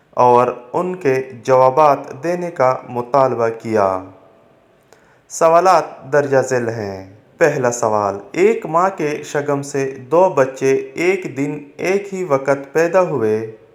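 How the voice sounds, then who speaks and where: With lively intonation, a man talks in an ordinary speaking voice. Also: fairly high pitch for a man. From Pakistan. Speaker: voice-over artist. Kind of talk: religious story narration.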